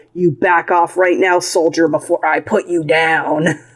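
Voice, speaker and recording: This put-on character voice holds a middle pitch and a monotone, flat intonation at a moderate pace. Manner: threatening through gritted teeth.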